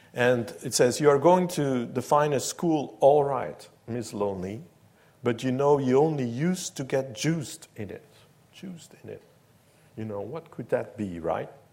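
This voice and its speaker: Lively intonation marks this man's fairly high-pitched, dark and mellow voice as he speaks at a fairly slow pace. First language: Dutch. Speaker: professor. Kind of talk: lecture. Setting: stage with audience.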